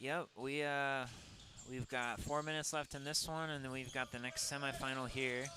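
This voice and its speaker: A man's fairly high, bright and sharp voice in a Minnesota accent, monotone and flat in intonation, at a moderate pace. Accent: Minnesota, Midwestern. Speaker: sports color commentator. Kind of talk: live commentary. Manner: casual, hesitant with fillers.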